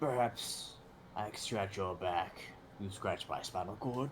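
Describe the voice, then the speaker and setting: A man performs a put-on character voice at a fairly low pitch. Clear background noise runs behind him. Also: fairly slow pace. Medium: actual play. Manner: dry, sardonic.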